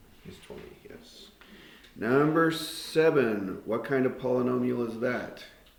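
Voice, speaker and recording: Over noticeable background noise, a man talks at a fairly slow pace and medium pitch, with ordinary pitch variation and big swings in loudness. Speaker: math teacher. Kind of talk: classroom lesson. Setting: classroom with students.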